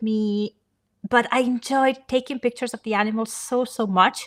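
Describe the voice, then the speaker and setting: Recorded dry and close with no echo, a woman with a fairly high, bright, sharp voice speaks at a moderate pace. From Italy. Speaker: photographer. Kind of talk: interview. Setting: live stream.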